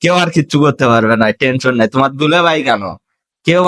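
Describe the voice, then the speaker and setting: This man has an unremarkable speaking voice at a medium pitch, with lively intonation. The sound is dry and close, with no echo. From Bangladesh. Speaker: vlogger, migrant worker. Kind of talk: casual interview vlog.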